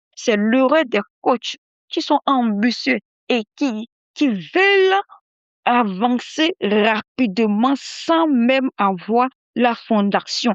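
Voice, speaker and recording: A woman speaks very slowly in a high voice, with very wide swings in pitch. Her volume stays very even throughout. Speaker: podcast host and mindset coach. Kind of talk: motivational podcast monologue. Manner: repetitive, emphatic; soft-spoken.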